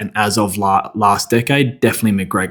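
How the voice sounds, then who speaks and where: A man talks in an Australian accent with fairly even intonation. It is a very clean recording with a silent background. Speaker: men's coach. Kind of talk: motivational talk. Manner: casual, conversational.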